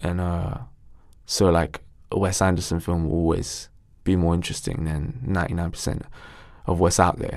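A man with a London accent talks at a moderate pace, with long, frequent pauses. His voice is very deep and low, with ordinary pitch variation. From Ilford, east London, England. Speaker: actor and musician. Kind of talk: casual interview chat.

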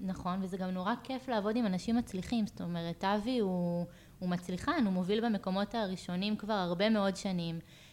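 Using a normal speaking voice, a woman of medium pitch talks at a fairly quick pace with fairly even intonation and hardly any pauses. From Israel, Hefer Valley moshav. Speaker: real estate agent. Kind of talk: interview.

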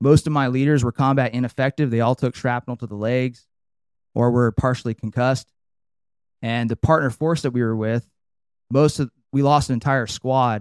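In an American accent, a medium-pitched man speaks at a moderate pace with fairly even intonation and long, frequent pauses, in a very clean, dry, close recording with a silent background and no echo. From Northern California. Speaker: army veteran and performance coach. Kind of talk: interview. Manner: casual.

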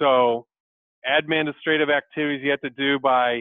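A man with an American accent speaks at a moderate pace. His intonation is fairly even. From Michigan, US Midwest. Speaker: sales executive. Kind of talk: interview.

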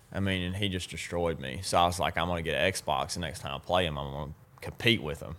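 The speaker has an Alabama accent and vocal fry. Delivery is very fast, with ordinary pitch variation. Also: man, very deep, low pitch for a man. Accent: Southern US (Alabama). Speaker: professional bass angler. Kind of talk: casual interview.

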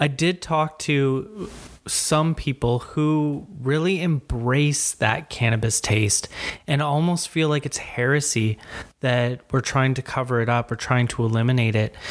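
Over a very clean recording with a silent background, a man with a Canadian accent and an unremarkable speaking voice talks at a fairly slow pace and medium pitch, with ordinary pitch variation and very even loudness. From Ontario, Canada. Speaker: podcast host. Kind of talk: interview; casual chat.

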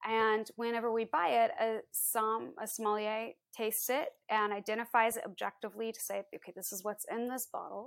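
In an ordinary speaking voice, a woman with an American accent talks fairly quickly at a fairly high pitch. Her intonation is fairly even while her loudness swings a lot. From US Midwest, Iowa. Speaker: wine entrepreneur. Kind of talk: interview. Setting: video call.

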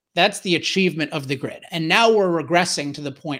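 In a very clean recording with a silent background, a man uses a normal speaking voice, fairly high in pitch with ordinary pitch variation. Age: 40s. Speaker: energy author and commentator. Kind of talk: interview conversation.

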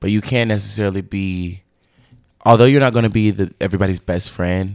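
On a very clean recording with a silent background, a man's voice sounds dry and close with no echo, his pitch varying in an ordinary way. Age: 20s. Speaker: podcast guest, airport worker. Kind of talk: casual chat.

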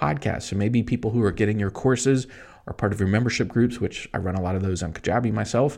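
With vocal fry, a man talks at a fairly quick pace in an animated, upbeat tone. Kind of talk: pep talk. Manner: animated, upbeat, fired-up and motivational, pushing the listener to go for it; conversational, fast, punchy with emphatic repeated phrases.

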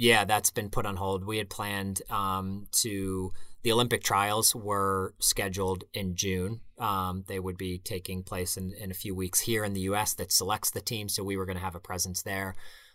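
With an American accent, the speaker has a bright, sharp tone and monotone, flat intonation at a moderate pace. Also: man, fairly low pitch for a man. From Pittsburgh, US. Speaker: running apparel company founder and CEO. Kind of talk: interview. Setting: remote call from a closet.

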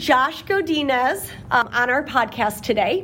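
A woman talks fairly slowly and with lively intonation as noticeable background noise fills the clip. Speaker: school administrator and podcast co-host. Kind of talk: casual interview chat. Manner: laughs often.

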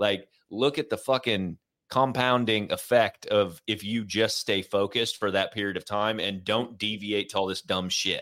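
A man speaks in a plain, everyday voice at a fairly low pitch and a moderate pace. His intonation is fairly even, and the recording is very clean, with a silent background. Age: 40s. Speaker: podcast host, military veteran and former corporate employee. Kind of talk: casual interview chat.

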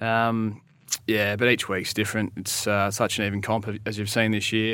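A man's bright, sharp, fairly low voice in an Australian accent, monotone and flat, at a fairly quick pace on a very clean recording with a silent background. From South Australia, Naracoorte. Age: 30s. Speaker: Australian rules footballer. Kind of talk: casual interview.

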